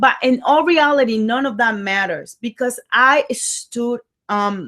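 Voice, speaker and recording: With a strong Dominican accent and lively intonation, a woman speaks on a very clean recording with a silent background. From Dominican Republic. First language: Spanish. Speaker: life coach. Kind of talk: motivational talk. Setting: livestream. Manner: animated.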